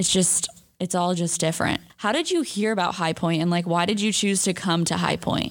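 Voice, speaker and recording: Using a normal speaking voice, a woman with fairly low pitch speaks at a fairly quick pace, her intonation fairly even and her loudness very even. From California, San Francisco area. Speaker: college student podcast host. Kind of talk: casual chat.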